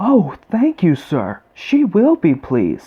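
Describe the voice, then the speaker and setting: A man puts on a character voice with a high pitch, speaking at a fairly slow pace. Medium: read story. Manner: innocent, gentle.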